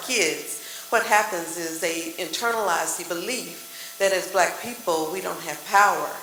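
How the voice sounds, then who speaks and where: A woman with an American accent, medium-pitched, at a moderate pace, amid noticeable background noise and audible room echo. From West Texas. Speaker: therapist. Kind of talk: panel discussion.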